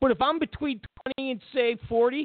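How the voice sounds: A man's extremely high voice at a fairly quick pace, with a dry, close sound and no echo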